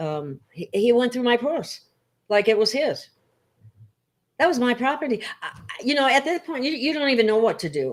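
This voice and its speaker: With very wide pitch swings and a high pitch, a woman talks at a moderate pace, leaving long, frequent pauses. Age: 70s. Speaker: talk show host. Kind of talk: casual interview conversation. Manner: halting.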